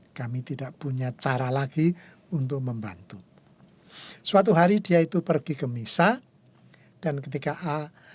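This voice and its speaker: A man's somewhat breathy, fairly high voice at a moderate pace, with lively intonation, long and frequent pauses, and a quiet background. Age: 70s. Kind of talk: spiritual talk show conversation.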